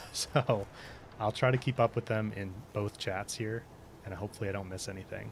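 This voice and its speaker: This soft-spoken man talks fairly quickly with a fairly low pitch and fairly even intonation, leaving long, frequent pauses. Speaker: gaming streamer. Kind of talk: live stream gameplay commentary.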